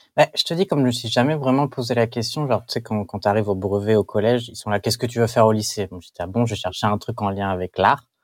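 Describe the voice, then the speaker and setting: A man at medium pitch talks at a very fast pace with hardly any pauses. The recording is very clean with a silent background and a dry, close sound with no echo. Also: ordinary pitch variation. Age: 20s. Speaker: comic book artist. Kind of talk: interview. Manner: halting, with frequent repetitions.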